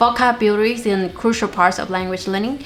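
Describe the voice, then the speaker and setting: A woman talks with a Vietnamese accent at a medium pitch. Noticeable background noise sits behind her. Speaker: language learning youtuber. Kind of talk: tutorial.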